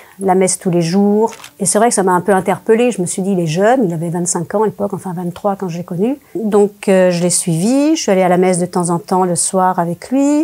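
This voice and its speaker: With ordinary pitch variation and a medium pitch, a woman talks at a moderate pace, hardly pausing at all. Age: 60s. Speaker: former religious group member giving testimony. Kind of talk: testimony interview. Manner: hesitant, many fillers.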